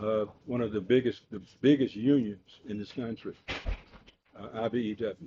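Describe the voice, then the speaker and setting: Delivered at a fairly slow pace with a Mississippi accent, the speech has fairly even intonation. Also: man. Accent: Southern US (Mississippi). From US South. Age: 80s+. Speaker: retired Air Force veteran speaking at city council. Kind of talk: public comment at city council meeting. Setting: city council meeting room. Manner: halting, many fillers.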